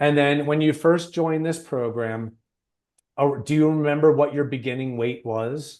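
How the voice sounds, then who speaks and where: Over a quiet background, a man talks at a moderate pace. He has a plain, everyday voice with fairly even intonation. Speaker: weight loss coach, program founder. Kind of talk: client interview.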